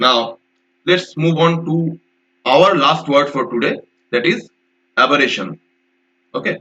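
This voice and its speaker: Vocal fry from a man at a fairly high pitch, a fairly slow pace, ordinary pitch variation and long, frequent pauses. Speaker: vocabulary teacher. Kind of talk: lecture.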